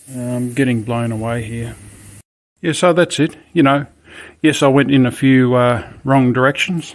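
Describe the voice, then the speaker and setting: This man talks at a moderate pace with a medium pitch. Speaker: car DIY hobbyist. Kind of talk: tutorial. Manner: halting, many fillers.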